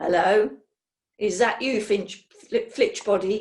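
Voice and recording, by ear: A woman uses a put-on character voice that is guttural at medium pitch. She speaks at a very slow pace.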